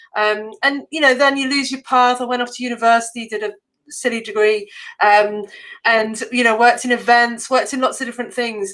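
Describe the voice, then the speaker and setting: A woman with an English accent speaks at a fairly quick pace with fairly even intonation. Her high-pitched voice has a bright, sharp tone on a very clean recording with a silent background. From England. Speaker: copywriting entrepreneur and teacher. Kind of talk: interview. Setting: live stream.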